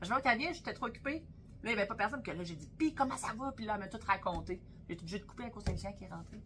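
A woman talks at a very fast pace with a fairly high pitch, lively intonation and big swings in loudness. Music plays in the background. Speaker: butcher and podcast co-host. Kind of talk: casual chat.

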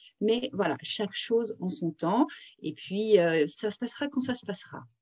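A woman talks at a fairly slow pace with lively intonation. Her voice is fairly high and somewhat breathy. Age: 40s. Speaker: career consultant and author. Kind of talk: interview. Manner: hesitant, repeats words.

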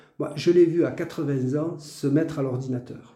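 Very slow male speech, dark and mellow in tone, with ordinary pitch variation and audible room echo. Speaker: retired teacher. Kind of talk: testimony interview. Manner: halting, many repetitions.

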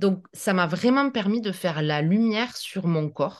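A woman speaks at a fairly low pitch, her voice swinging very widely in pitch. The background is quiet. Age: 40s. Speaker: naturopath. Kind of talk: interview.

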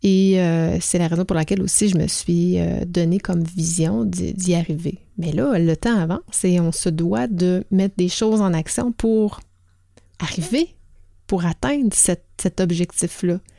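A woman's dark, mellow, fairly low voice with a Quebec accent, at a fairly slow pace with ordinary pitch variation. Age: 40s. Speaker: podcast host and organizational culture consultant. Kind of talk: solo podcast monologue.

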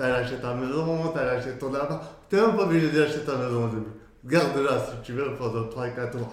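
A man speaks at a medium pitch and a moderate pace, with ordinary pitch variation. The room echo is audible, and background noise is noticeable. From France, Moroccan heritage. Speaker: entrepreneur and traveller. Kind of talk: casual interview. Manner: halting.

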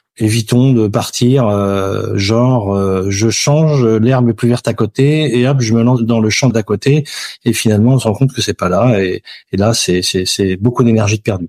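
A man's unremarkable speaking voice at medium pitch, fairly slow and very even in loudness, with ordinary pitch variation, on a very clean recording with a silent background. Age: 50s. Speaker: insurance broker. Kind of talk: interview.

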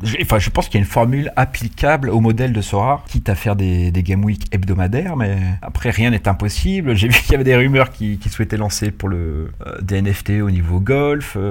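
A man talks at a fairly quick pace with hardly any pauses. His voice is fairly low and somewhat breathy, with lively intonation. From Paris, France. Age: 30s. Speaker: fantasy football manager. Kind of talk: casual chat.

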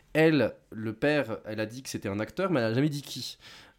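Lively intonation from a man over a very clean recording, silent background. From southwestern France. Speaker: film critic. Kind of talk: casual chat. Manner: halting.

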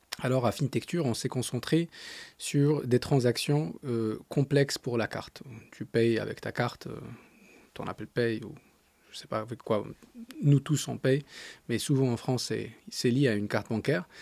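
A man with an Arabic accent talks at a fairly slow pace at medium pitch, leaving long, frequent pauses, with ordinary pitch variation. His loudness swings widely, and the sound is dry and close with no echo. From Morocco, Agadir. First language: Arabic (speaking French). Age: 30s. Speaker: startup founder and CEO. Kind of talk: interview. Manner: halting.

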